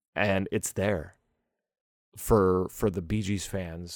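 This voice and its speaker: An American accent in a dark, mellow tone, with ordinary pitch variation, on a very clean recording with a silent background. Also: man. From US, Pittsburgh. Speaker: podcast host. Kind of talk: casual solo podcast monologue.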